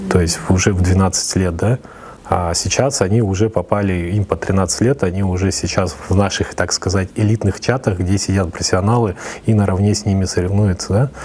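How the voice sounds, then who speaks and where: Against noticeable background noise, a man with a very deep, low pitch talks at a fairly quick pace and fairly even intonation. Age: 30s. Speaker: esports federation chairman. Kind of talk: interview. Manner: hesitant, many fillers.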